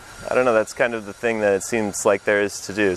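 A man with an American accent talks in a monotone, flat way at a fairly low pitch. The sound is dry with no echo, and there is light background noise. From Nebraska, US Midwest (Papillion). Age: 20s. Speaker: documentary interviewee. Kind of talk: reflective interview. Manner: hesitant, with fillers. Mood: reflective, slightly conflicted. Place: street. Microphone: lapel.

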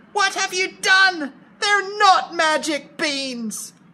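A put-on, squeaky character voice at an extremely high pitch and a very slow pace. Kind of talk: comic storytelling with character voices. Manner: sharp, emotional, scolding. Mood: exaggerated anguish, near wailing.

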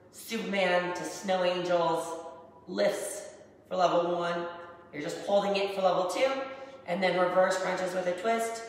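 In a room with strong echo, a woman speaks at a moderate pace with fairly even intonation. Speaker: fitness instructor. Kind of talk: workout tutorial. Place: home room.

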